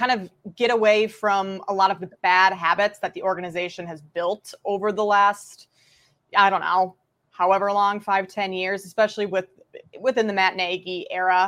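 A woman with an American accent speaks at a moderate pace. She leaves long, frequent pauses. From Minnesota. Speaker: sports betting analyst. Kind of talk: casual chat.

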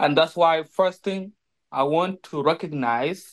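A man's high voice in a South Sudanese accent, very slow, with lively intonation. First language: Dinka. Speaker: former slave, survivor. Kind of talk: personal testimony. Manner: halting, many filler pauses.

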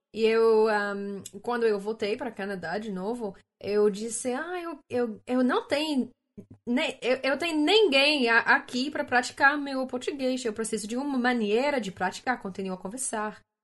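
Slowish in pace, a woman speaks in a high pitch with ordinary pitch variation. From Canada. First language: English (speaking Portuguese). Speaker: social media creator. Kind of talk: casual interview. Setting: video call. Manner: halting, many fillers.

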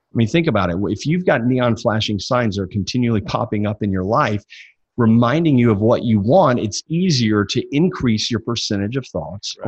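A man with a Southern US accent speaks at a moderate pace with medium pitch and lively intonation. His voice is somewhat breathy against a quiet background. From US South, Mississippi. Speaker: success coach. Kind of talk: interview.

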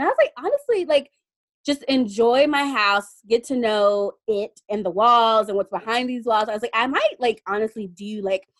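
At a moderate pace, a woman with a fairly high voice speaks with lively intonation.

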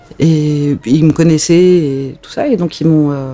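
Her voice is very deep and low, moving at a fairly slow pace with ordinary pitch variation. Noticeable background noise sits behind the woman. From France, Alsace. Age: 30s. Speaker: journalist. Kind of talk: casual chat. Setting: home, cats present.

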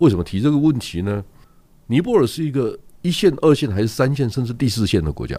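At a very fast pace, a man with a medium pitch speaks, his pitch swinging very widely. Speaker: newspaper publisher. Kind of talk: casual chat.

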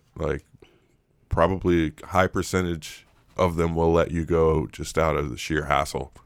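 This man talks in a very deep, low register with fairly even intonation and vocal fry. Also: moderate pace. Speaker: podcast co-host. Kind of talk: casual chat.

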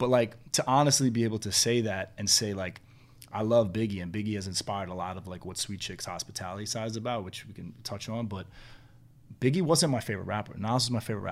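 This man has a New York accent and a fairly low pitch. He talks at a very fast pace with ordinary pitch variation. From New York City. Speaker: restaurant entrepreneur. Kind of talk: casual chat.

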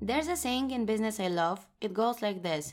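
A woman with a Bulgarian accent speaks at a fairly high pitch and a moderate pace, with ordinary pitch variation. The recording is very clean, with a silent background. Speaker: podcast host and blogger. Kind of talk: solo podcast monologue.

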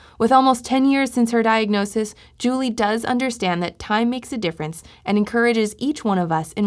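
Here is a plain, everyday voice moving at a fairly quick pace. Its pitch variation is ordinary, and the recording is very clean with a silent background. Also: woman. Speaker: podcast host. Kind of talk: scripted podcast intro and outro.

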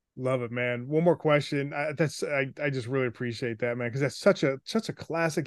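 A very fast-talking man at a fairly high pitch, with a dry, close sound with no echo and a quiet background. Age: 40s. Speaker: podcast host, former radio DJ. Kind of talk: interview.

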